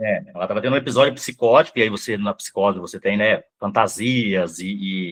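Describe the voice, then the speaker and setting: A man talks at a fairly quick pace with hardly any pauses, his fairly low voice showing ordinary pitch variation. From Brazil, Rondônia (born Mato Grosso do Sul). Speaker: psychoanalyst. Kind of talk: interview. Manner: fast.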